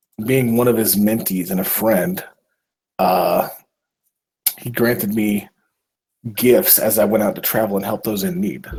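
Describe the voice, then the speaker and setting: Putting on a raspy character voice, a man speaks at medium pitch and a moderate pace, leaving long, frequent pauses. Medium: actual play.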